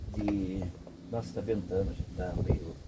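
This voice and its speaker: A man talking at a fairly slow pace over noticeable background noise. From interior of São Paulo state, Brazil (Avaré). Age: 60s. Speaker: veteran car mechanic. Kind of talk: casual storytelling to camera. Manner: casual, with repeated filler 'entendeu'.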